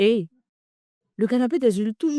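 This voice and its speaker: With very wide pitch swings, a woman speaks in a dark, mellow tone, the sound dry and close with no echo. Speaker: talk show host. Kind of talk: testimony. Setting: live video stream.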